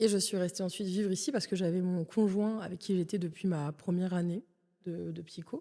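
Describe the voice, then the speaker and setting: A woman speaks at a moderate pace in a medium-pitched voice with a dark, mellow tone. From western France, Cognac. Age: 30s. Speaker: comedian. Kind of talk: casual interview.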